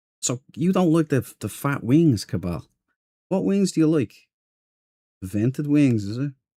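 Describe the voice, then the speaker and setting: A man speaks at a fairly slow pace with a fairly high pitch, a dark, mellow tone and very wide pitch swings, leaving long, frequent pauses in a dry, close sound with no echo. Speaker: game streamer. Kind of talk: live gameplay stream chat. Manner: casual, hesitant with fillers.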